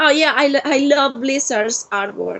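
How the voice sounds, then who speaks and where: A woman with a Spanish accent speaks at a moderate pace with ordinary pitch variation. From Argentina. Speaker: cosplayer. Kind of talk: interview. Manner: halting.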